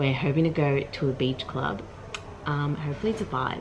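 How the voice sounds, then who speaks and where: A woman's very deep, low voice with ordinary pitch variation, set against noticeable background noise. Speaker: travel vlogger. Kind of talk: casual vlog chat. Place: home room. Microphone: phone near.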